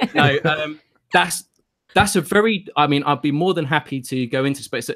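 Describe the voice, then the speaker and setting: A man's bright, sharp tone with lively intonation at a moderate pace. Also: fairly high pitch for a man. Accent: British. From United Kingdom. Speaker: crypto PR director. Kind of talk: casual chat.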